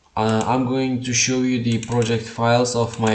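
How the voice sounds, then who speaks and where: The speaker has a non-native accent and talks at a fairly slow pace. Noticeable background noise is present. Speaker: YouTube creator. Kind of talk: tutorial. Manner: halting, with many uh fillers.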